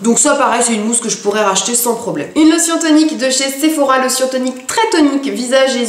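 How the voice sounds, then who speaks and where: A woman with a high pitch talks at a moderate pace amid noticeable background noise and audible room echo. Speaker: beauty vlogger. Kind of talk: product review vlog. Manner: hesitant, many fillers.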